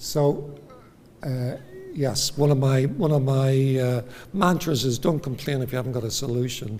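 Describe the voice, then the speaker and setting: A man with a Northern Irish accent, medium pitch, ordinary pitch variation and a moderate pace, in a room with audible echo. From Northern Ireland. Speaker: psychiatrist. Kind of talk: lecture. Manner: halting.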